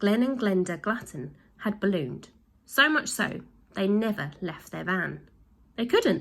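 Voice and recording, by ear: Someone reads the text aloud in a natural voice.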